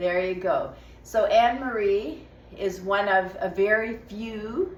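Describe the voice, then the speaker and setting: Noticeable background noise runs beneath a woman as she talks. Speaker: stretching coach. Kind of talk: casual interview to camera.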